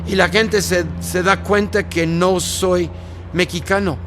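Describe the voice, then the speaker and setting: A man's voice amid noticeable background noise. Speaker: pastor. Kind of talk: interview.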